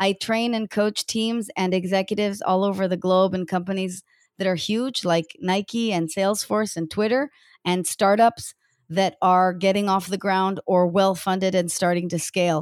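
In a very clean recording with a silent background and a dry, close sound with no echo, a woman uses an ordinary speaking voice at medium pitch, moderate pace, and fairly even intonation. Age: 40s. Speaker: executive coach. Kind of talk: interview.

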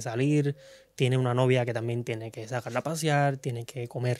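A man with a medium-pitched, unremarkable speaking voice talks at a fairly quick pace with fairly even intonation. The recording is very clean, with a silent background. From Cuba. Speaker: singer. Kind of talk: casual interview chat.

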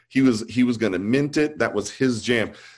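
A man talks with an American accent in a plain, everyday voice. His pace is moderate and his pitch variation ordinary. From US South. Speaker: artist.

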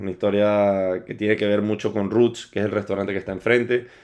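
A man talks at a fairly quick pace with a fairly low pitch. The background is quiet. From Venezuela, Caracas. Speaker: fitness instructor and personal trainer. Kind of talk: casual interview chat.

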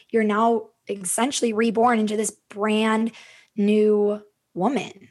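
Speaking very slowly in an Upper Midwest accent, a woman with a fairly high pitch keeps a monotone, flat intonation. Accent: Upper Midwest American. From Minnesota, US. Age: 30s. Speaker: podcast host and yoga/wellness coach. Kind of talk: casual interview conversation.

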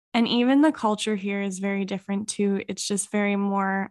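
In a Canadian accent, a woman talks at a moderate pace and medium pitch. The sound is dry and close with no echo, and the background is quiet. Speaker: podcast co-host. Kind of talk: casual chat.

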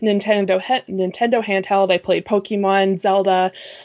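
A woman speaks in a Nova Scotian accent at a medium pitch. Her intonation stays monotone and flat. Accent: Canadian, Nova Scotian. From Nova Scotia, Canada. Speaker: guest. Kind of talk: casual chat.

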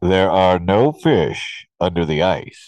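A man's booming, put-on character voice, very deep and low, at a very slow pace.

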